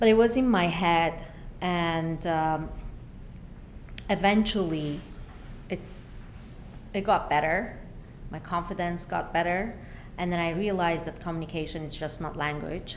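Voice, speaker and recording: Woman at a fairly slow pace with long, frequent pauses and audible room echo. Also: fairly low pitch for a woman, fairly even intonation. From Iran. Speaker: urban planner. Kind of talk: podcast interview.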